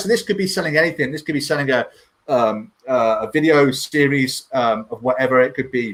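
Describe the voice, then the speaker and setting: A man talks at a fairly quick pace. His fairly high pitch carries lively intonation. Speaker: web developer presenting a product. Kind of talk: live product demo. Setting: livestream. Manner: fast.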